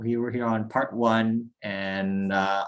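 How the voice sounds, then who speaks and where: This is a man's voice. It sits at a medium pitch. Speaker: university robotics team member teaching CAD. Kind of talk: online tutorial presentation. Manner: fast; casual, filler-heavy.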